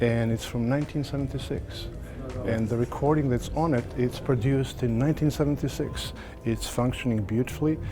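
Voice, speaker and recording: Over noticeable background noise, a man with a Serbo-Croatian accent speaks at a medium pitch and a fairly quick pace, his loudness very even. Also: ordinary pitch variation. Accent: Balkan (Serbo-Croatian) accent in English. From former Yugoslavia. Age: 60s. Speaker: audio dealer. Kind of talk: interview. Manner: halting.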